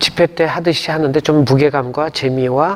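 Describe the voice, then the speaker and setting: Ordinary pitch variation from a man over noticeable background noise. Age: 60s. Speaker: gospel singer and pastor. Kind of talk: interview. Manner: casual conversational.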